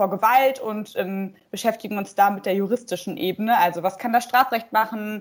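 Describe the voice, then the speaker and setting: A woman's ordinary speaking voice, fairly high in pitch, with ordinary pitch variation and a moderate pace. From Emsland, Lower Saxony, Germany. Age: 20s. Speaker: political candidate and legal researcher. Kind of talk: interview.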